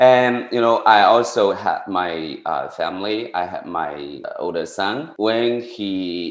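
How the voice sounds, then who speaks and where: A man with a Chinese accent speaks amid audible room echo. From rural China. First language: Mandarin Chinese. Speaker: tutoring business owner, former teacher. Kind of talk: interview. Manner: halting, many fillers.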